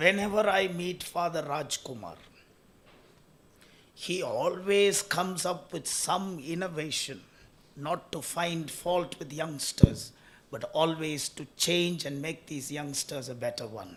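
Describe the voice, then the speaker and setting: A man's high-pitched voice at a very slow pace, with big swings in loudness. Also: ordinary pitch variation. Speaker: speaker at an HR summit. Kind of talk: public speech.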